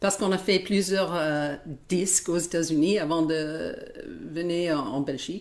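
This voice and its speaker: A woman with an American accent talks at a fairly slow pace in a fairly low pitch. Her intonation is fairly even and her loudness very even. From United States. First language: English (speaking French). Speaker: worship musician. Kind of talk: interview. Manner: halting.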